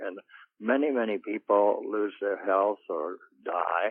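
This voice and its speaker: At a fairly slow pace, a man talks in a fairly low voice. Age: 80s+. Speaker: pro-life activist. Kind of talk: interview. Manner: halting.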